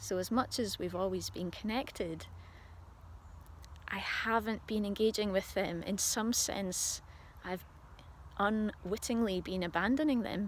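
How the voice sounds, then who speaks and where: On a very clean recording with a silent background, a speaker with a Scottish accent talks fairly slowly, with ordinary pitch variation and long, frequent pauses. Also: woman, medium pitch for a woman. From Scotland. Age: 40s. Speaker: spiritual video diarist. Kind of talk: personal video diary monologue. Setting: outdoors on a walk. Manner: halting.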